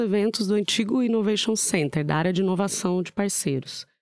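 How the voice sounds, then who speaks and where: A woman with an unremarkable speaking voice and medium pitch talks at a moderate pace with ordinary pitch variation. The recording is very clean, dry and close, with no echo and a silent background. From São Paulo, Brazil (born in southern Minas Gerais). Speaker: tech company business professional. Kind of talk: casual interview chat.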